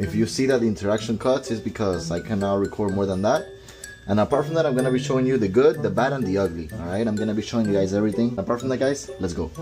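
A man talks at a very fast pace with clear music playing in the background. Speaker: vlogger. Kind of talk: casual vlog chat. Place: bathroom. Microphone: headset.

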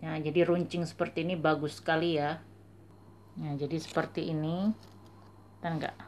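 A woman speaks in a very deep, low, monotone voice with flat intonation. Long, frequent pauses break her speech over light background noise. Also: moderate pace. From Indonesia. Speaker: beauty vlogger; beauty reviewer. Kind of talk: product review; casual product review. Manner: halting. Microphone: phone near.

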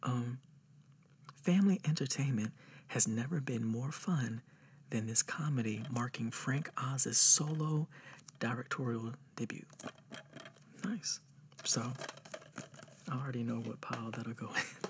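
Soft-spoken, a man talks at a fairly slow pace with ordinary pitch variation and long, frequent pauses over light background noise. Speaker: ASMR creator. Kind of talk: ASMR roleplay. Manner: relaxed, casual. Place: home room.

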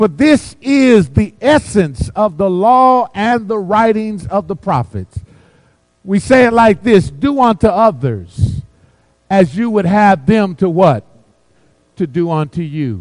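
Very slow and high-pitched, a man speaks with very wide pitch swings. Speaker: pastor. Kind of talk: sermon. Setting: church.

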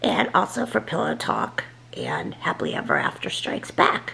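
Someone whispers at a moderate pace. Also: woman. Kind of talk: casual vlog chat, drink tutorial. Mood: playful, joking. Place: kitchen. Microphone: phone near.

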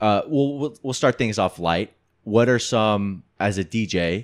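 In a quiet background, a man speaks at a fairly low pitch with ordinary pitch variation. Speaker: podcast host. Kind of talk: casual chat. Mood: relaxed, reflective. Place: home room. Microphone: studio mic.

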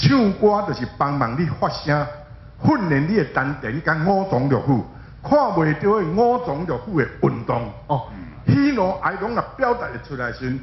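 At a fairly slow pace, the speech moves through very wide pitch swings, with audible room echo. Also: man. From Taiwan. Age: 60s. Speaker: singer. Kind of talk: interview answer. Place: hall. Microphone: handheld.

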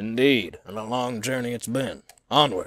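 Putting on a character voice, a man drawls in a Southern US accent at a moderate pace, with medium pitch and fairly even intonation. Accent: Southern American. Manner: Southern cowboy drawl.

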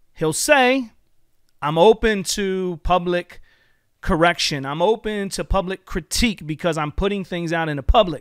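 At a moderate pace and with ordinary pitch variation, a man speaks in a high voice, the sound dry with no echo against a quiet background. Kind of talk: critical commentary video. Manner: earnest, preacherly. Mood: critical, confrontational. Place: home room. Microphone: studio mic.

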